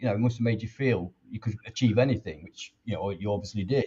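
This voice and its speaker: Somewhat breathy male speech with ordinary pitch variation. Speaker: fan channel host. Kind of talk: interview. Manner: rambling.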